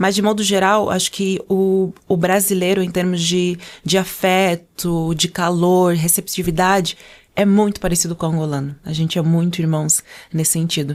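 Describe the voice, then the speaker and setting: In a monotone, flat delivery, a woman with a fairly low pitch speaks on a very clean recording with a silent background. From Angola. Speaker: podcast guest, communication trainer and former model. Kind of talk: casual interview chat. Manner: fast.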